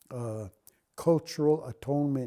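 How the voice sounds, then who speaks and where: A man speaks at a fairly slow pace with a Lakota accent and medium pitch. The recording is very clean, with a silent background. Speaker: Lakota elder and culture keeper. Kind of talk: oral teaching talk. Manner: halting, with self-corrections.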